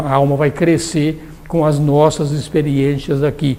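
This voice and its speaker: Spoken at a fairly slow pace, the clip has audible room echo and noticeable background noise. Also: man. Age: 60s. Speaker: theosophy lecturer. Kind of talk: lecture. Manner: casual.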